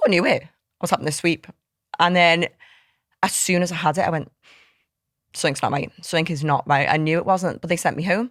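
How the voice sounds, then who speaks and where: A woman with a Liverpool accent talks very fast in a fairly low, animated voice, yet leaves long, frequent pauses. The recording is very clean, with a silent background. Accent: Liverpool (Scouse) English. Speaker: fitness coach and app co-founder. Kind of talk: casual chat. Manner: loud.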